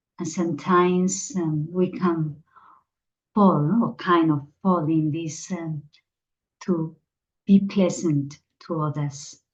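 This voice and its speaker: A woman's somewhat breathy, fairly low voice at a very slow pace, with ordinary pitch variation and long, frequent pauses. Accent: Spanish. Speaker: meditation teacher. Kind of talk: spiritual talk.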